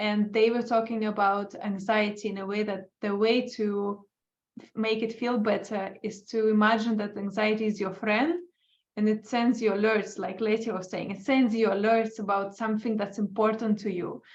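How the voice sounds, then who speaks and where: A woman speaks with an Estonian accent at a moderate pace. Her fairly high voice has monotone, flat intonation. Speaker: dog trainer. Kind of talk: casual chat.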